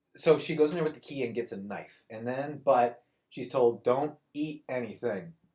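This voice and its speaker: A man talks at a moderate pace and medium pitch in a dark, mellow tone, with ordinary pitch variation. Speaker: podcast co-host. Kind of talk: casual chat. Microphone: laptop built-in microphone, terrible audio.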